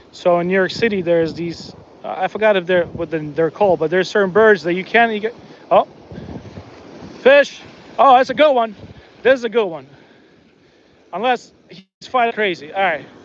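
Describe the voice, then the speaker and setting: Over noticeable background noise, a man with a high voice talks at a fairly quick pace with lively intonation and long, frequent pauses. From born in Soviet Union, raised in US. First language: not English (third language). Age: 40s. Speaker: fishing livestreamer. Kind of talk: casual livestream commentary. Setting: outdoors on beach. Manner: relaxed, chatty with fillers.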